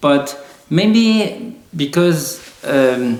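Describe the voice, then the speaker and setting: A man with an Arabic accent speaks with lively intonation. The recording has audible room echo and noticeable background noise. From Lebanon. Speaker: software engineer. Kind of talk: casual interview conversation. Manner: halting, with repeated words.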